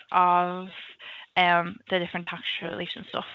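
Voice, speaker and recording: The speaker has a Liverpool accent. The pace is moderate. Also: woman. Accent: Liverpool (Scouse). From Liverpool, England. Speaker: government analyst. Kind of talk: career talk presentation. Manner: casual, many filler ums.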